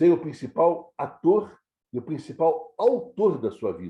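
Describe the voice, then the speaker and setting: A man's voice, dark and mellow, with vocal fry. His pitch sits fairly high for a man and swings very widely. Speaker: scouting educator, retired national office staff. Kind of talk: lecture. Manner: halting, many fillers and repetitions.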